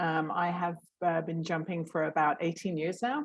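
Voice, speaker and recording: Her pitch is fairly low for a woman. She keeps her intonation fairly even. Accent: British. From Great Britain. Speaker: professional skydiver. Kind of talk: online workshop talk.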